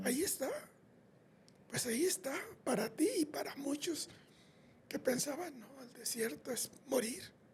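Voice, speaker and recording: A man's extremely high voice at a fairly slow pace, with ordinary pitch variation, big swings in loudness, and long, frequent pauses. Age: 80s+. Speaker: podcast co-host, grandfather. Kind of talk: podcast conversation.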